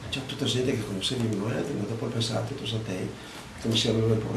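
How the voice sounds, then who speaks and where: A man speaks at a medium pitch with flat, monotone intonation. Audible room echo and noticeable background noise are in the recording. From Veneto, Treviso province. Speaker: war eyewitness. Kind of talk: testimony.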